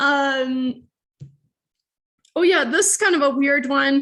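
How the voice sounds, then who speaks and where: A woman projects a raised voice at high pitch. Her tone is bright and sharp, and her pace fairly slow. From Sweden. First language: Swedish. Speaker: university lecturer. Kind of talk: lecture. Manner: casual, hesitant with fillers.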